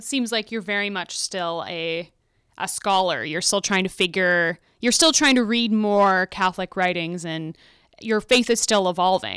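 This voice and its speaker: An unremarkable speaking voice from a woman, with ordinary pitch variation, in a very clean recording with a silent background. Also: medium pitch for a woman, moderate pace. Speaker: podcast host and editor. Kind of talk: interview conversation. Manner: curious, conversational.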